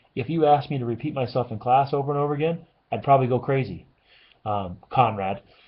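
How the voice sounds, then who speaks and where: Somewhat breathy, a man at medium pitch talks at a very fast pace with ordinary pitch variation. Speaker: high school algebra teacher. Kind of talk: recorded lecture. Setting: classroom.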